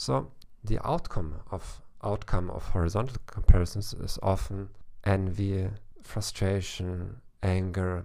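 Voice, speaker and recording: With a German accent, a man speaks at a very deep, low pitch with big swings in loudness. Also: ordinary pitch variation, fairly slow pace. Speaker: psychologist, author and German teacher, podcast host. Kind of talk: podcast monologue, informative talk.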